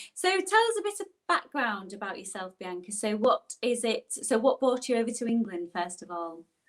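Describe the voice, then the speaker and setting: In a Yorkshire accent, a woman with a fairly high pitch talks at a moderate pace with hardly any pauses, very wide pitch swings and big swings in loudness. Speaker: online show host. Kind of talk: interview. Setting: live online broadcast.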